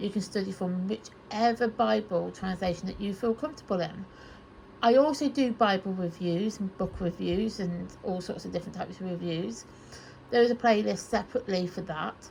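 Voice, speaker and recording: In a British accent, a woman speaks softly. Her pitch varies in an ordinary way. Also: medium pitch for a woman, moderate pace. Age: 30s. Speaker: Bible study YouTuber. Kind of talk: casual chat. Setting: in her bedroom, on her bed. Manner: soft-spoken.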